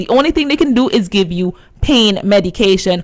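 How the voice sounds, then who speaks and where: With an unremarkable speaking voice, a woman talks at a moderate pace with lively intonation. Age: 20s. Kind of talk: radio interview.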